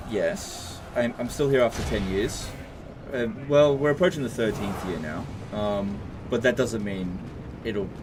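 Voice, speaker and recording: Noticeable background noise sits behind a man speaking at a fairly slow pace with lively intonation. He takes long, frequent pauses. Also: medium pitch for a man. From Australia. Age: 30s. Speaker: gaming YouTuber streamer. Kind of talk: livestream chat answering viewer questions. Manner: casual, hesitant with fillers and restarts.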